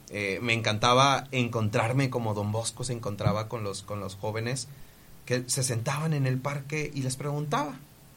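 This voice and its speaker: Room echo can be heard in the recording. The intonation stays fairly even at a moderate pace. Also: man, medium pitch for a man. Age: 20s. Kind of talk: casual podcast chat with storytelling. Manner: halting, with frequent repetitions.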